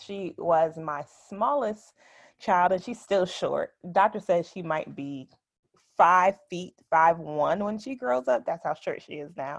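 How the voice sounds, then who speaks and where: Against a quiet background, a woman talks with an American accent. Her intonation is lively and her pace very slow. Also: medium pitch for a woman, big swings in loudness. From New Jersey (Orange). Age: 30s. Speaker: accountant and mother sharing birth story. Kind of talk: interview, personal testimony.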